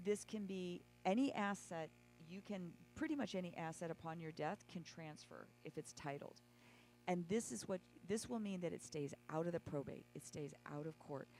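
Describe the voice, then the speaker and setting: A woman speaks at a moderate pace with a fairly low pitch. Her tone is dark and mellow, with ordinary pitch variation. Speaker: legal planning presenter. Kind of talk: workshop presentation. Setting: church event, livestreamed. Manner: halting.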